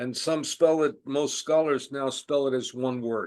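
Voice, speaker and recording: A man with a New York accent and a fairly high pitch, fairly even intonation, against a quiet background. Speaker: Holocaust scholar. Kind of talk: lecture.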